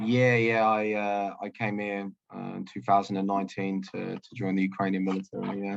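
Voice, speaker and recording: Speaking with an English accent, a man keeps a moderate pace and fairly even intonation with hardly any pauses. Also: fairly low pitch for a man. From London, England. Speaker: soldier and interpreter. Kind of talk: video call interview. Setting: video call. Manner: halting.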